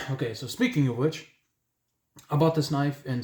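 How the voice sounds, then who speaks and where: The man talks at a fairly quick pace with a somewhat breathy voice. His intonation is fairly even. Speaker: knife reviewer. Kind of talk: product review. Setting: indoors at night, home room. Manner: hesitant, with filler sounds.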